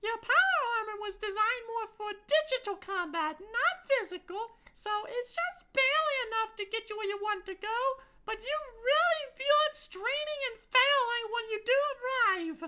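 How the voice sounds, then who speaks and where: A squeaky voice moves at a moderate pace with lively intonation. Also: woman, extremely high pitch for a woman. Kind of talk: tabletop game narration. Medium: actual play. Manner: dry, matter-of-fact.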